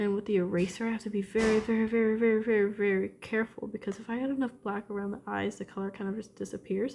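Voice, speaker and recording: This woman talks at a very fast pace with hardly any pauses. Her fairly high voice stays monotone and flat. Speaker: drawing video creator. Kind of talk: casual drawing commentary. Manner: casual with fillers.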